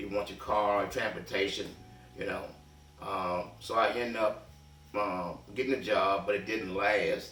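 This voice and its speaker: There is noticeable background noise as a man talks. Audible room echo surrounds his voice. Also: fairly slow pace. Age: 70s. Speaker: reentry mentor. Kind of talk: personal testimony. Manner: hesitant, with many fillers.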